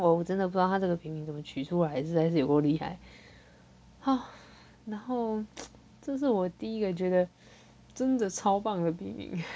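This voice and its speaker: At a moderate pace, a woman with a medium pitch uses lively intonation and takes long, frequent pauses. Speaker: podcast host and light novel writer. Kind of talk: casual solo podcast chat. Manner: halting, many repeated words.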